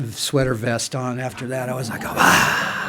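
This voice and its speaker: Medium-pitched male voice amid noticeable background noise. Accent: American. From Santa Monica, California. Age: 60s. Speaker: speaker at AA meeting. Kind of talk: testimony. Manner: casual, filler-heavy.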